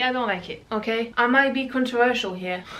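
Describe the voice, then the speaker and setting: At a moderate pace, a woman with a fairly high pitch speaks with a non-native accent amid audible room echo and noticeable background noise. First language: not English. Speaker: booktuber. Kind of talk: casual chat. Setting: home, reorganizing bookshelves.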